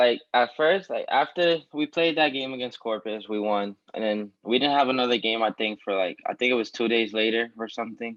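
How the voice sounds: A man at medium pitch, fairly bright in tone, at a fairly quick pace with few pauses. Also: ordinary pitch variation.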